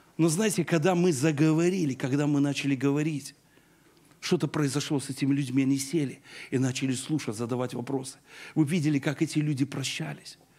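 A fairly high-pitched man with a dark, mellow tone, fairly even intonation and a fairly quick pace. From Belarus. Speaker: pastor; preacher. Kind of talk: sermon. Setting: church. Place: church. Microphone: handheld.

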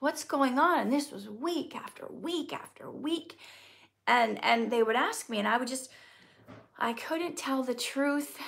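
A woman with an American accent speaks at a high pitch and a fairly slow pace. Her intonation is lively and her tone warm. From US Midwest, Minnesota. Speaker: actor and poet, channel host. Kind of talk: live-stream Q&A. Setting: live stream video. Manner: warm, chatty. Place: home room. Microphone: phone near.

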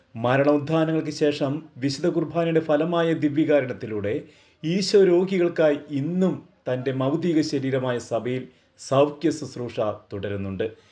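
A man's fairly high voice with a dark, mellow tone and ordinary pitch variation, over a quiet background. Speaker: doctor giving a faith talk. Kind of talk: religious talk. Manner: formal.

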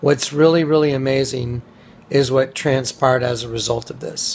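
A somewhat breathy man at a moderate pace, with monotone, flat intonation. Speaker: speaker. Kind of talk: casual vlog chat. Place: office. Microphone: phone near.

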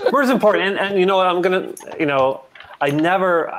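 The voice has ordinary pitch variation. Light background noise can be heard. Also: man. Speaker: comics creator playing a role-playing game. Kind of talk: tabletop role-play. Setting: video call. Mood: comic, ironic. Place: home room. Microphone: video call.

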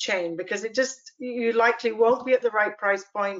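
Against a quiet background, a woman talks in an ordinary speaking voice, fairly high in pitch with fairly even intonation. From Canada. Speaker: pork farmer and processor; panelist. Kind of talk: panel discussion. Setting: video call. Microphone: video call.

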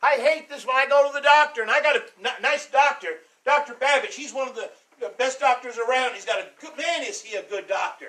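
A man's extremely high, bright, sharp voice, raised and projected, animated in tone, with big swings in loudness. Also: ordinary pitch variation, fairly quick pace. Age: 60s. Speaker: pastor. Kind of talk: sermon. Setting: church. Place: church.

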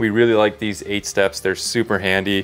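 Over faint music in the background, a man with a fairly low voice speaks at a moderate pace. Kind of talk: walkthrough tour explanation. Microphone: lapel.

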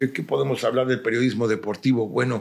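A man talks with vocal fry. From Mexico, Cuernavaca, Morelos. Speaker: radio announcer and journalist. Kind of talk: casual interview.

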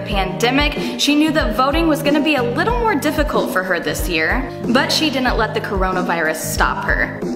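A woman speaks with clear music in the background. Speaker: local news host. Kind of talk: upbeat local news segment read. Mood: upbeat, positive. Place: office.

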